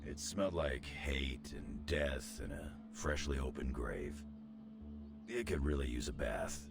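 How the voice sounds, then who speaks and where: Through loud background noise, a man performs a put-on character voice at a moderate pace. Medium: video game. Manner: blunt, cocky.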